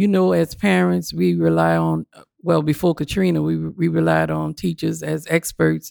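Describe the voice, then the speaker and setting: Here a woman speaks with a New Orleans accent at a moderate pace. The recording is very clean, the background silent. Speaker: parent union organizer. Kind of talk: casual chat. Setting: studio.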